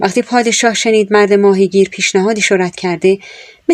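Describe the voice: The speaker reads aloud plainly. Intonation is fairly even throughout.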